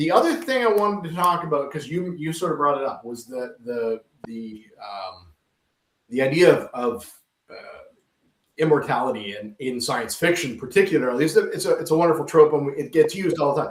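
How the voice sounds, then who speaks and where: In an ordinary speaking voice, a man talks at a fairly quick pace and fairly high pitch, with lively intonation and big swings in loudness. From Canada. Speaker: podcast host and sci-fi writer. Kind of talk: interview. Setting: studio.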